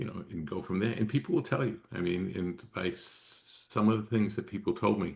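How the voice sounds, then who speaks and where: The speaker talks at a fairly quick pace in a somewhat breathy voice with an American accent. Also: man, fairly low pitch for a man, lively intonation, hardly any pauses. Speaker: former emergency management official. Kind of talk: interview. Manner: fast.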